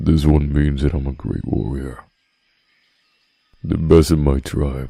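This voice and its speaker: Putting on a character voice, a man speaks fairly slowly at a very deep, low pitch. His intonation stays monotone and flat. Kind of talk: boyfriend roleplay audio. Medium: solo performance. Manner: slow, soft-spoken.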